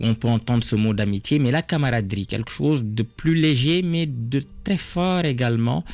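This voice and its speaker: A man with an unremarkable speaking voice, medium pitch, lively intonation and a fairly slow pace. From Senegal, Diourbel. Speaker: novelist. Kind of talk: radio interview.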